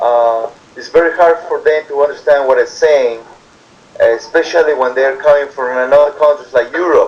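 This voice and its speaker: Noticeable background noise sits under a man's fairly high voice with ordinary pitch variation. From Peru. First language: Spanish. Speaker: immigrant worker interviewee. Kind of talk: interview. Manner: halting.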